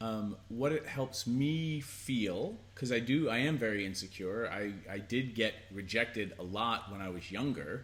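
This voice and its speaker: In a plain, everyday voice, a man speaks at a fairly slow pace and medium pitch with ordinary pitch variation and hardly any pauses. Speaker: sex and relationship educator. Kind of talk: casual conversational advice talk to camera.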